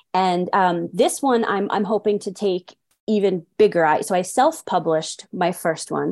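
An American accent marks this woman's ordinary speaking voice, medium in pitch, delivered at a moderate pace with ordinary pitch variation. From New York City, the Bronx. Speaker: children's book author. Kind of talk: interview.

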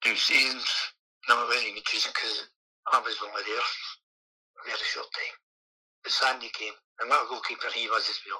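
Talking in a Scottish accent at a fairly quick pace, a man breaks his speech with long, frequent pauses. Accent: Scottish (Ayrshire). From Scotland, Kilmarnock, Ayrshire. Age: 60s. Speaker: retired footballer. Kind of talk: interview. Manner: halting.

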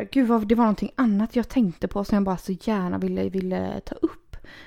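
In a very clean recording with a silent background, a woman speaks at a moderate pace in a dark, mellow tone. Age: 30s. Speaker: podcast host. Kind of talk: casual chat.

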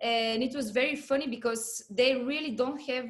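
A woman speaks with a high pitch. Her pace is moderate. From Bulgaria, Pleven. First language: Bulgarian. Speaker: percussionist and marimba player. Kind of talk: interview.

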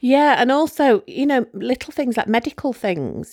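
On a very clean recording with a silent background, a woman speaks with a British accent, the sound dry and close with no echo. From UK. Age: 40s. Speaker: donor-conceived person searching for her biological father. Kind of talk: interview about personal story.

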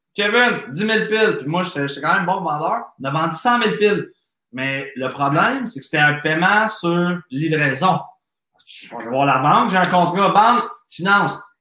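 The speaker uses a bright, sharp tone with lively intonation at a fairly slow pace, with audible room echo. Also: man, high pitch for a man. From Quebec. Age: 30s. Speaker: entrepreneur and business coach. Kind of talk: podcast interview.

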